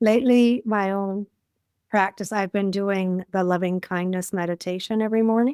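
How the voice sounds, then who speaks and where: Recorded very cleanly against a silent background, a woman with a plain, everyday voice speaks at a medium pitch and moderate pace with ordinary pitch variation, in a dry, close sound with no echo. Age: 60s. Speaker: life coach. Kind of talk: casual chat.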